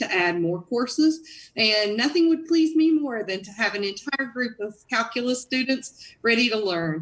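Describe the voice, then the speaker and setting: Using a Southern US accent, a woman talks at a moderate pace with lively intonation. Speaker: college dean. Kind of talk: live Q&A answer.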